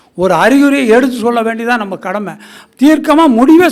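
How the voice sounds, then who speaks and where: The voice moves through very wide pitch swings. Audible room echo surrounds it. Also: man. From Tamil Nadu, Erode area. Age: 70s. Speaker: astrologer. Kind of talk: speech at astrology gathering. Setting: stage with audience.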